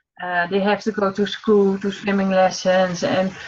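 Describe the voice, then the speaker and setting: A woman is speaking. She has a Dutch accent. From Netherlands. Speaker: online marketing entrepreneur. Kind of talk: casual chat. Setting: video call. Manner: halting.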